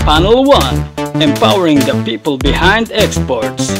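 Middling-speed speech from a man over background music. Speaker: voice-over artist. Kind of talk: event promo announcement.

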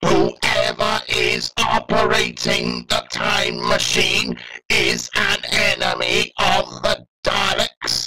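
A man puts on a raspy character voice, pitched high for a man. He talks at a very slow pace. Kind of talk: fan dub of a TV scene. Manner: commanding, staccato.

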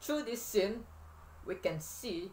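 A man with a non-native accent, at a fairly slow pace. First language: not English. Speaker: video blogger reviewing books. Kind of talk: book review monologue to camera.

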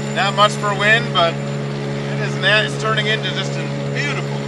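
Loud background noise runs under this man's voice. There is no echo, and the sound is dry. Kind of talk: casual vlog chat. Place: boat. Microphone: camera far.

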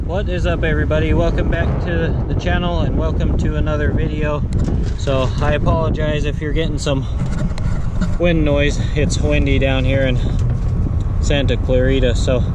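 Loud background noise surrounds a man speaking at a moderate pace with long, frequent pauses, the sound dry with no echo. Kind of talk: casual vlog chat. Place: open country. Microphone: phone near.

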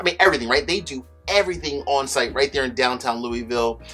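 Faint music can be heard in the background. Over it, a man talks. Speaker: bourbon reviewer host. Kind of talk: casual vlog chat. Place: home room.

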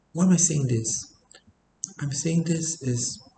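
Over light background noise and audible room echo, a man with a dark, mellow tone speaks somewhat breathily at a fairly slow pace, with ordinary pitch variation. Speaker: private tutor. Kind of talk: reflective talk to camera. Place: home room. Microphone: webcam.

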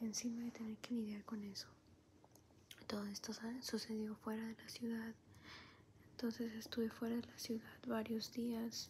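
Soft-spoken and gentle in tone, a woman talks at a fairly slow pace in a monotone, flat delivery with long, frequent pauses over light background noise. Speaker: vlogger. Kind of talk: casual vlog chat. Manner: soft-spoken, low and gentle. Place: home room. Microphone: phone near.

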